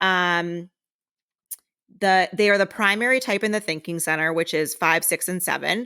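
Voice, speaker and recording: Loud and bright, with a sharp tone, a woman speaks at a moderate pace and medium pitch with ordinary pitch variation and long, frequent pauses, in a very clean recording with a silent background. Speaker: podcast co-host. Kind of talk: reading aloud; casual chat.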